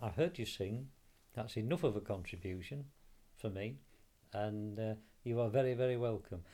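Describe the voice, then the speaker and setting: A man with a South Yorkshire accent speaks at a moderate pace and a medium pitch, with ordinary pitch variation. His tone is warm, dark and mellow. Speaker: radio interviewer. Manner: warm, jokey.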